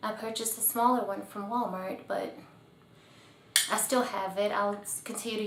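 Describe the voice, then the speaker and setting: A soft-spoken woman with a relaxed tone and medium pitch, over noticeable background noise. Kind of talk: ASMR-style tutorial talking to camera. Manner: soft-spoken, relaxed.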